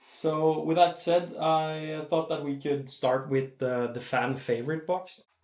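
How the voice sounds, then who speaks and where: With a Norwegian accent, a man speaks at a very slow pace. His pitch is fairly high and his intonation fairly even. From Norway. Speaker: disc golf unboxing youtuber. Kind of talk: unboxing video. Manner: halting, many filler words.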